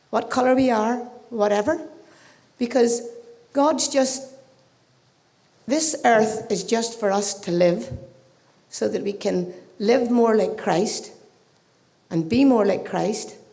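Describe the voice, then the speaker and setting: Amid audible room echo, a woman with a fairly high voice speaks very slowly with ordinary pitch variation and long, frequent pauses. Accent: Irish. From Ireland. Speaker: audience member. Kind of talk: audience question. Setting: live event with audience.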